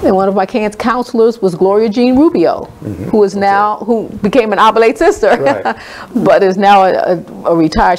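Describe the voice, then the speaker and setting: A moderate pace carries the woman's speech. Behind her, background noise is noticeable. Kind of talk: personal story recounting a childhood memory in a radio interview.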